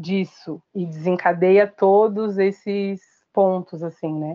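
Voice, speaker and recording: A woman's medium-pitched voice at a very slow pace. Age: 30s. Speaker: human resources analyst and activist. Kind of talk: podcast interview.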